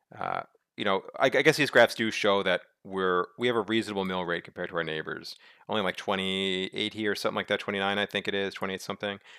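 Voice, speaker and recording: A man with an American accent speaks very fast, his fairly low voice held to fairly even intonation. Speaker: local politics commentator. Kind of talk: presentation walkthrough of data. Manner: halting with repetitions and fillers.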